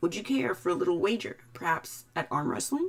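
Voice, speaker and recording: The put-on character voice sits at a middle pitch. It moves at a fairly quick pace. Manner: friendly, welcoming.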